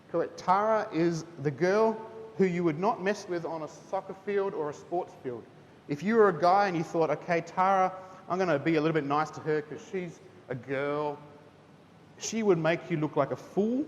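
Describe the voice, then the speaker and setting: A man with a New Zealand accent, high-pitched, at a moderate pace with ordinary pitch variation. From Singapore and New Zealand (missionary kid). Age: 30s. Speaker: teacher. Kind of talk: testimony talk to students at school chapel. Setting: school chapel with student audience. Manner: casual, conversational.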